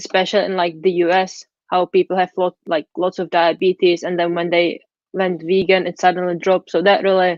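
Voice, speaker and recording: A woman speaks at a medium pitch and a fairly quick pace. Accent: Czech. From Czech Republic. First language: Czech. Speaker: vegan food blogger. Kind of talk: interview.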